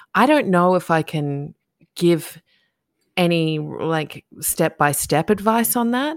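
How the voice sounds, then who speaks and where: A woman talks with an Australian accent. Her pitch is fairly low, with ordinary variation. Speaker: podcast host. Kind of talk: casual interview chat. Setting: video call, recording at night. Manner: quiet, keeping voice down.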